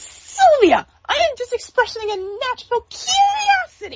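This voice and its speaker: In a put-on character voice, the speaker talks at a moderate pace with an extremely high, squeaky pitch. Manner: squeaky, cartoonish imitation.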